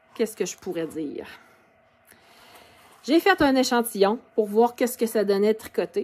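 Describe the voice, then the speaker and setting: A woman with a Quebec accent speaks at a fairly high pitch, with lively intonation and big swings in loudness. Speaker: knitting podcaster. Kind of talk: casual video podcast. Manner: hesitant, many fillers.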